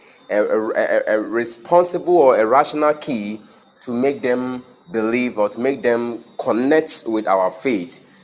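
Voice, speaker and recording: Noticeable background noise sits behind a man talking at a fairly slow pace. His pitch is medium, with ordinary variation. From Ghana. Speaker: pastor and podcast host. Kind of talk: casual religious discussion.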